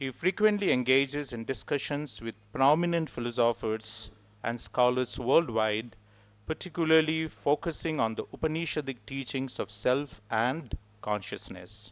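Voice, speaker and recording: On a very clean recording with a silent background, a man talks at a moderate pace with a medium pitch and ordinary pitch variation. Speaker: ashram host introducing the speaker. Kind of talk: formal introduction. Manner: formal.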